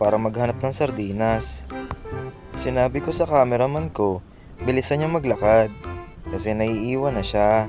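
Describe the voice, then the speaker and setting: A man with a medium pitch speaks in a playful tone with lively intonation at a moderate pace. Music plays in the background. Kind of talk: comedic voice-over narration of cooking vlog. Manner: playful, joking.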